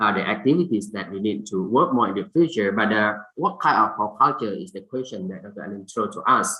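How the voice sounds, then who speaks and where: The speaker has a Thai accent. The intonation is lively. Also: man. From Thailand. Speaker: fisheries scientist, symposium speaker. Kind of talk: conference presentation. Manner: halting, many fillers.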